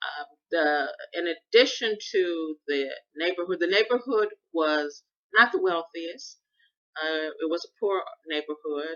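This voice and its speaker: A woman's fairly low voice at a fairly slow pace, with ordinary pitch variation, big swings in loudness and long, frequent pauses. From US Midwest, Chicago South Side. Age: 60s. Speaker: podcaster. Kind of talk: personal monologue.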